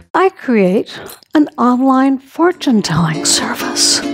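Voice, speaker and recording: Against noticeable background noise, a woman speaks at a high pitch. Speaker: stage actor. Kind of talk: solo theatre monologue. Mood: wistful to humorous. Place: stage. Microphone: headset.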